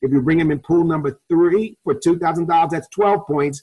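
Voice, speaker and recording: This man has a New York accent and a high pitch. His pitch varies in an ordinary way. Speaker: network marketing presenter, ex-police officer. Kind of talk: sales pitch. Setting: webinar call. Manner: fast.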